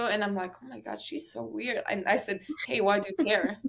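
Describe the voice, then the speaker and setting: A woman with a Slovak accent at a moderate pace. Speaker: college tennis player. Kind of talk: interview, casual chat.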